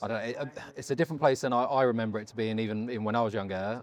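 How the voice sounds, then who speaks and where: Speaking in a British accent, a man holds a medium pitch. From Britain. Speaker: interviewer. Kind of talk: interview. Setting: conference on-site.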